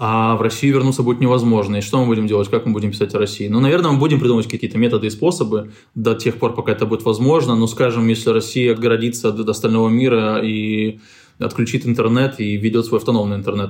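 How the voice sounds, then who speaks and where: This man talks at a very fast pace in a medium pitch, his loudness staying very even throughout. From Moldova. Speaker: investigative journalist and editor. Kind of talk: interview.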